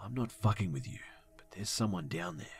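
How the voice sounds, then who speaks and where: In a put-on character voice, someone whispers raspily in a serious tone at a fairly quick pace. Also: man. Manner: whispering, serious.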